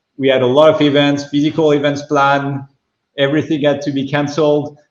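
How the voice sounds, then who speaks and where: A man's fairly high voice in a French accent, fairly quick and flat, monotone in intonation. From France. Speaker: venture capital investor. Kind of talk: fireside chat interview. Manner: halting, many fillers.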